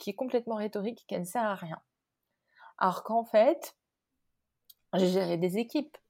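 This woman's voice has a dark, mellow tone and ordinary pitch variation, recorded very cleanly over a silent background. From Morocco. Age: 30s. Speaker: company founder. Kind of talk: interview. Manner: halting, many repetitions and fillers.

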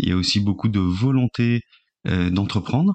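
Fairly low in pitch, a man speaks at a fairly slow pace. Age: 40s. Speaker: social entrepreneur. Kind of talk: interview. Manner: halting, many fillers and repetitions.

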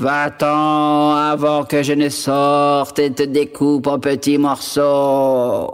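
A man's put-on character voice, fairly high for a man, very slow and monotone with flat intonation, on a very clean recording with a silent background. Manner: menacing, threatening.

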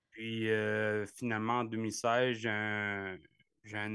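A man's very slow pace and monotone, flat intonation. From Quebec, Gaspésie. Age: 30s. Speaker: ultra-distance cyclist. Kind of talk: interview. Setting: video call. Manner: halting.

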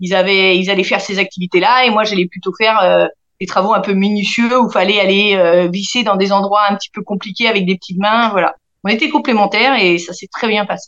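A woman speaks at a fairly quick pace in an ordinary speaking voice. Her medium pitch keeps a fairly even intonation. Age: 40s. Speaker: aircraft assembly workshop team leader. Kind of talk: interview.

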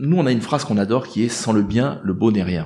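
With a dark, mellow tone and vocal fry, the man's voice swings very widely in pitch. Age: 50s. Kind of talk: interview. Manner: halting.

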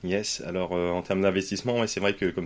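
The recording is very clean with a silent background, and a man speaks with fairly even intonation. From France, Poitiers. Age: 30s. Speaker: real estate investor, former firefighter. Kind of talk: interview.

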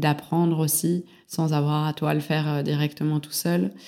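A woman speaks in a very deep, low voice with a flat, monotone delivery and a dark, mellow tone, recorded very cleanly against a silent background. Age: 20s. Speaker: entrepreneur. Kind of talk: interview.

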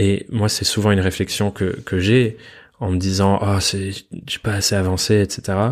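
A man with a fairly low voice speaks at a fairly slow pace on a very clean recording with a silent background. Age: 20s. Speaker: podcast host, freelancer. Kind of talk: solo podcast monologue.

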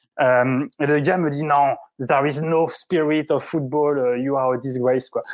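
The speaker is a man. His pitch is fairly high. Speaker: football video reporter. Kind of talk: casual storytelling. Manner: halting, repeats words.

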